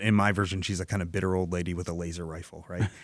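With a Michigan accent, a man talks in a very deep, low pitch and a monotone, flat intonation. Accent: Michigan American. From Dearborn, Michigan, US. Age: 40s. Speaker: comic book writer and novelist. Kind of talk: radio interview. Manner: halting, many fillers and repeats.

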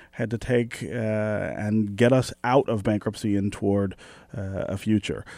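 In a very clean recording with a silent background, a man with an American accent talks at a fairly slow pace in a normal speaking voice at medium pitch. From Detroit, Michigan. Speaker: radio host. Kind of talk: radio interview; radio announcements.

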